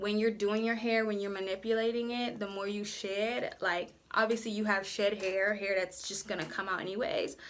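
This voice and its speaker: A woman with a normal speaking voice, medium pitch and fairly even intonation, at a moderate pace with hardly any pauses. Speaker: beauty vlogger. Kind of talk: tutorial. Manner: casual, conversational.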